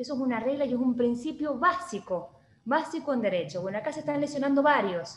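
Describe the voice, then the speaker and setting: Her voice is high-pitched, and this woman speaks at a moderate pace. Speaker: lawyer. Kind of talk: online panel talk.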